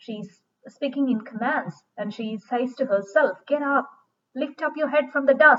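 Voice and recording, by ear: A woman at a high pitch and fairly slow pace, with ordinary pitch variation and a bright, sharp tone.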